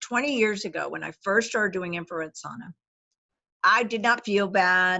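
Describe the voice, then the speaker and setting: A woman speaks with an American accent. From Texas. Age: 60s. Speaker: medical doctor. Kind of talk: interview. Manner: animated.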